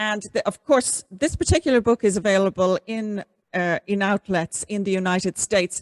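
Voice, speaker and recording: A woman with a fairly high-pitched voice speaks with an Irish accent. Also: dry, close sound with no echo. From Ireland. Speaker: podcast host. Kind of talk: interview.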